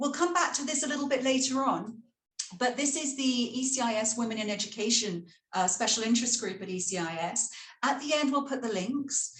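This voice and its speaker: A woman with a British accent talks at a high pitch with lively intonation, and audible room echo surrounds her voice. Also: fairly quick pace. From Britain. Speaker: school leader and panel moderator. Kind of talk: webinar panel moderation.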